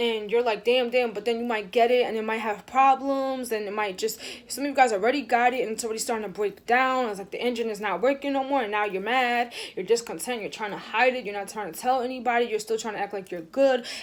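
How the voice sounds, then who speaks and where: A woman with a fairly high voice talks at a very fast pace with hardly any pauses. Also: fairly even intonation. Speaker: tarot reader. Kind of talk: tarot reading.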